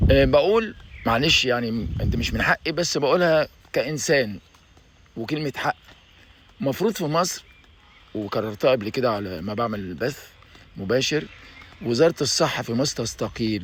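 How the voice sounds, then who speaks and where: At a moderate pace, a man with a medium pitch uses lively intonation and takes long, frequent pauses. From Egypt. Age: 60s. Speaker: YouTuber. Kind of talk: video monologue. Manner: animated.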